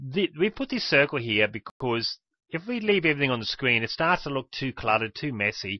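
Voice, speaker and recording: A man talks at a very fast pace. His pitch is medium. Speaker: software tutorial presenter. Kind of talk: screen-recorded software tutorial. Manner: casual, conversational.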